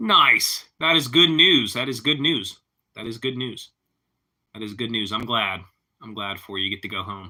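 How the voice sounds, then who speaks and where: In a Pittsburgh accent, the speaker goes at a moderate pace with lively intonation, big swings in loudness, and long, frequent pauses. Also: man, medium pitch for a man. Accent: Pittsburghese. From Pittsburgh, Pennsylvania. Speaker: live streamer. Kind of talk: casual chat.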